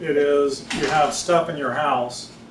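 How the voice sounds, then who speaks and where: A man's fairly high-pitched, monotone voice with flat intonation, under noticeable background noise and audible room echo. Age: 60s. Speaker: writer. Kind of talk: reading aloud. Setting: stage with audience. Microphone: no microphone.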